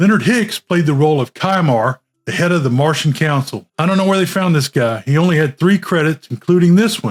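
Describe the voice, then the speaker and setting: A normal speaking voice moves at a fairly quick pace with lively intonation. The sound is dry and close, with no echo. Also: man. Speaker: film reviewer. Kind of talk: movie review talk to camera.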